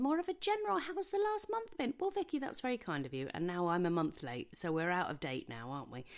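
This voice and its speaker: A woman speaks at a very fast pace. She has an English accent. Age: 40s. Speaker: podcast host. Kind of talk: casual monologue. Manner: rambling, chatty.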